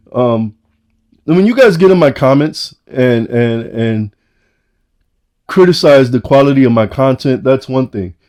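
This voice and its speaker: With a New York accent, a man talks at a fairly slow pace, taking long, frequent pauses. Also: medium pitch for a man, lively intonation. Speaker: watch reviewer YouTuber. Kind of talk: product review vlog. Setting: home basement room. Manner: halting, repeating words.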